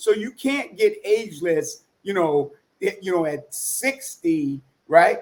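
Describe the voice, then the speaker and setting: A man speaks at a very slow pace. His high pitch moves in very wide swings. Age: 60s. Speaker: fitness coach. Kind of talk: interview.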